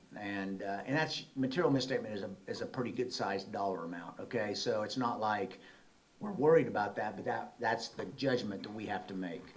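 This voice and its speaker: Audible room echo surrounds a man with an American accent who speaks at a fairly quick pace with a fairly low pitch and ordinary pitch variation. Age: 60s. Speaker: auditor. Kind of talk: presentation. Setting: city council meeting. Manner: conversational.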